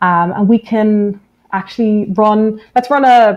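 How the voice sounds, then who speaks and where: A woman's pitch varies in an ordinary way over a quiet background. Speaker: software engineer presenting a database; guest. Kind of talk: technical webinar talk with live demo. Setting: video call webinar. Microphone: webcam.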